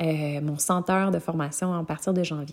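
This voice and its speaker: With a Quebec accent, a woman speaks in a warm tone and ordinary pitch variation. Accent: Québécois French. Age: 20s. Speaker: yoga teacher and podcast host. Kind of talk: personal storytelling monologue. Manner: warm, casual with frequent hesitations.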